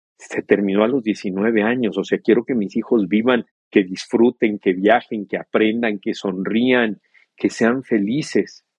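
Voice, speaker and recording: Using an ordinary speaking voice, a man speaks at a fairly slow pace with a fairly low pitch and fairly even intonation. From Mexico. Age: 50s. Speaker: TV journalist, bereaved father. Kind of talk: interview, personal testimony.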